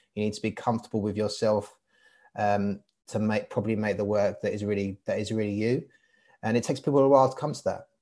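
A man talks at a very fast pace in a London accent, his fairly low voice dark and mellow with fairly even intonation. The recording is very clean, with a silent background. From east London (Barking, Hainault). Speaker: artist. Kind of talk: casual interview.

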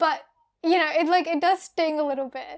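Words come out at a fairly quick pace. The delivery is in an Australian accent. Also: woman. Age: 20s. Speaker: podcast co-host. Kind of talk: casual chat.

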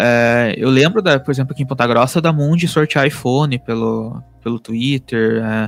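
A man at medium pitch, moderate pace and ordinary pitch variation, with hardly any pauses. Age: 30s. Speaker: podcast host, digital marketer. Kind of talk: casual chat. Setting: home office. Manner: halting.

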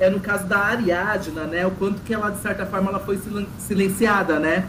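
With audible room echo and noticeable background noise, a man speaks in a high pitch at a moderate pace with fairly even intonation. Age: 30s. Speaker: reality show commentator. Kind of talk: casual chat.

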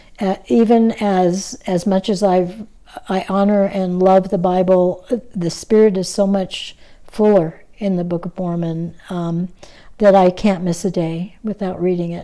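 On a very clean recording with a silent background, a woman talks at a fairly slow pace in a medium-pitched, dark, mellow tone, flat and monotone. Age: 70s. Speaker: author and religious teacher. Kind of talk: interview. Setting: at her home.

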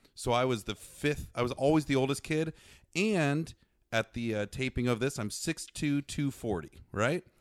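A man with an ordinary speaking voice and an American accent talks at a medium pitch and moderate pace, with ordinary pitch variation. The very clean recording has a silent background and a dry, close sound with no echo. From US Midwest. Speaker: season ticket holder, sports fan. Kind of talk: casual chat.

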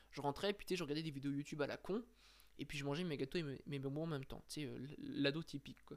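A man with a fairly high pitch talks very fast, his pitch varying in an ordinary way. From France (Brittany family). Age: 20s. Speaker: podcaster. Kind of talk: personal monologue. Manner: casual, hesitant.

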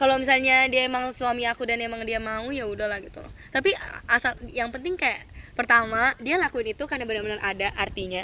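A woman speaks at a very fast pace in a high pitch, with a bright, sharp tone. Her loudness swings widely, while her pitch variation stays ordinary. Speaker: student. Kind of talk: casual chat.

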